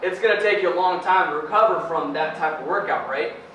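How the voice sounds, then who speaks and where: Light background noise and audible room echo surround this recording. A high-pitched man talks at a moderate pace with ordinary pitch variation. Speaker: personal trainer. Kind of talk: interview answer. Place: gym. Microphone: camera far.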